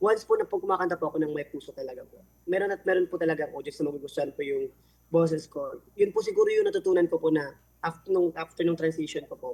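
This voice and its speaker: Here a man talks at a very fast pace. His loudness swings widely. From Philippines, Dagupan City, Pangasinan. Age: 20s. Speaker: singer. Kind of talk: interview. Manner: polite, frequent filler particles.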